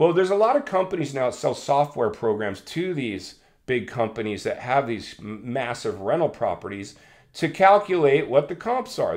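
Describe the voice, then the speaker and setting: A man's fairly high-pitched voice, animated in tone and fairly quick in pace, with vocal fry. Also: quiet background. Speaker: realtor and landlord, real estate commentator. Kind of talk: casual commentary video. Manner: fast.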